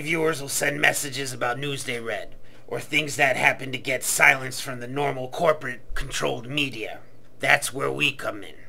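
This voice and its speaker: Using a put-on character voice, a man speaks at a medium pitch and moderate pace. His loudness swings widely over clear background noise. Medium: comedy sketch. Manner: stiff, proper.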